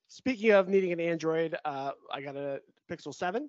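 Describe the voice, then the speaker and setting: With a normal speaking voice, a man speaks at a moderate pace, his fairly high pitch carrying lively intonation. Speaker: podcast host. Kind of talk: casual chat. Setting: video call.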